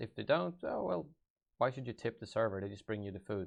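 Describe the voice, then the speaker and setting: Here a man speaks in a Swedish accent. His pitch is fairly low. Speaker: gaming YouTuber. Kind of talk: live stream Q&A. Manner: halting.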